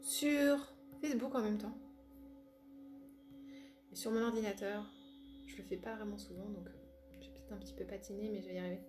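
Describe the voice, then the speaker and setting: A woman at a fairly quick pace, with long, frequent pauses and noticeable background noise. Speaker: spiritual coach and relaxation therapist. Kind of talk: casual live greeting to viewers. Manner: chatty, informal.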